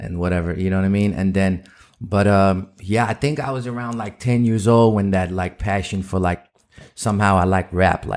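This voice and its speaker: With a Dutch accent, a man speaks at a fairly quick pace. His pitch is fairly low and his intonation fairly even. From Netherlands. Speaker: rapper. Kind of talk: casual interview chat.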